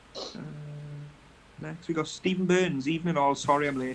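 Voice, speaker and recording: Noticeable background noise sits behind this man. He speaks with a British accent at a fairly high pitch. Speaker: model-building livestream host. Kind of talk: casual live stream chat, reading out viewer comments. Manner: soft-spoken. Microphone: iPad mic, too quiet.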